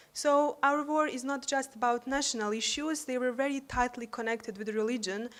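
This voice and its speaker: A woman speaks with a Bosnian accent. Her pitch is high. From Bosnia and Herzegovina. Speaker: university staff and youth peace activist. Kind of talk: conference speech.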